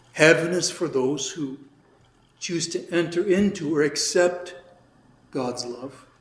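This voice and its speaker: A man speaks very slowly in a high voice with ordinary pitch variation, leaving long, frequent pauses. Noticeable background noise and audible room echo are present in the recording. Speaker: priest teaching catechism. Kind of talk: catechism class lecture. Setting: classroom with some attendees online. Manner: casual, hesitant with fillers.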